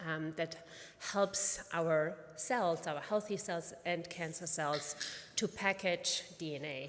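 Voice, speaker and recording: A woman's very slow speech, fairly low in pitch with ordinary pitch variation and a slight German accent. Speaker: pediatric oncologist and physician scientist. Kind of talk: conference presentation. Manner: halting with many fillers.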